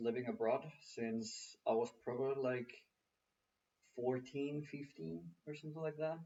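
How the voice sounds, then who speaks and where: The speaker has a Spanish accent. Pitch moves in an ordinary way. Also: man. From Mexico, Mexico City. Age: 20s. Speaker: engineer. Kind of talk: interview.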